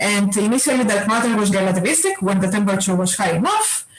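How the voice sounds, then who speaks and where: A woman speaks at a medium pitch over music in the background. Her pace is very fast. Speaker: physicist. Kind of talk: lecture. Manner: loud. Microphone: echo.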